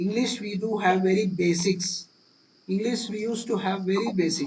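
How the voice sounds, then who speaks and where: A man with an Indian accent speaks at a moderate pace and a high pitch. His pitch varies in an ordinary way, and noticeable background noise is present. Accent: Indian English, Telugu. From India, Telugu-speaking region. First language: Telugu. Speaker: cloud computing instructor. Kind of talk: live class tutorial. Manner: repetitive, restarting phrases.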